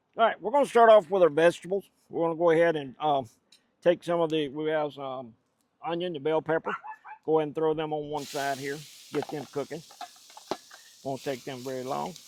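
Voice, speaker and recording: In a Louisiana accent, a man talks at a fairly quick pace and fairly high pitch, with ordinary pitch variation, big swings in loudness, and long, frequent pauses. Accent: Southern US (Louisiana, non-Cajun). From US South, central Louisiana, rural. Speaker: cooking channel host. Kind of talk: cooking tutorial. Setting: outdoors. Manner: casual, folksy.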